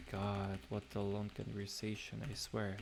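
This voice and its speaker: With a non-native accent, a man talks at a very slow pace in a fairly low pitch. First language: not English. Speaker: gaming video creator. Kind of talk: gameplay commentary. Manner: casual, hesitant with fillers.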